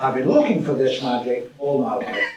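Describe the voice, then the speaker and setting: Audible room echo and noticeable background noise accompany a man speaking at a medium pitch. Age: 80s+. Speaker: management professor. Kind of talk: conference keynote talk. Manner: animated.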